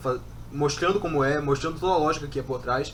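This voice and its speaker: With noticeable background noise, a man speaks at a fairly quick pace, his fairly high pitch showing ordinary variation. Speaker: church singer. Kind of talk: casual chat.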